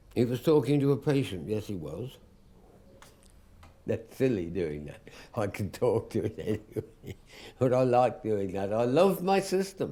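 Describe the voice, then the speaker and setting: A man's dark, mellow voice with vocal fry, fairly slow, with very wide pitch swings and long, frequent pauses. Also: medium pitch for a man. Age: 80s+. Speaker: psychiatric patient. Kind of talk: documentary interview. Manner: animated.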